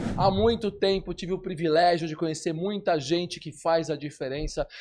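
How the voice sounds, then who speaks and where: A man speaks in a high voice with an upbeat tone. His pace is moderate against a quiet background. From Brazil. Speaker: podcast host; business consultant. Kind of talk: podcast intro to camera.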